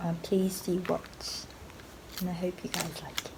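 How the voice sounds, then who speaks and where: A woman talks over noticeable background noise. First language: Japanese. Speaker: singer-songwriter vlogger. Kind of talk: casual vlog talk. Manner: halting, many fillers.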